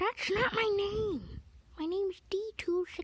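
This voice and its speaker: A squeaky, put-on character voice speaks at a fairly slow pace. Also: woman. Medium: read story. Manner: sneering, arrogant.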